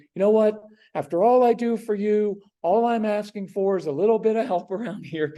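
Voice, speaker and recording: A man's put-on character voice, whiny and high-pitched, at a moderate pace. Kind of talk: pleading. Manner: pleading, guilt-tripping, whiny.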